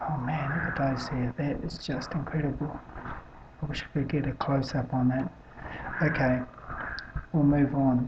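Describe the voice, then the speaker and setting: Against noticeable background noise, a soft-spoken voice talks at a moderate pace in a flat monotone, with long, frequent pauses. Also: woman, very deep, low pitch for a woman. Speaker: amateur weather-watch video maker. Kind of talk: casual commentary on satellite images. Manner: soft-spoken, speaking quietly; halting, many fillers.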